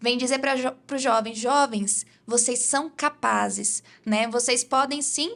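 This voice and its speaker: A woman's high pitch, bright and sharp in tone, with fairly even intonation. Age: 20s. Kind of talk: interview, personal testimony.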